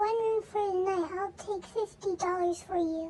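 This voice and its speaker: A put-on character voice, female-sounding and squeaky, with an extremely high pitch for a woman. It moves at a moderate pace. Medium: read story. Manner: eerily calm.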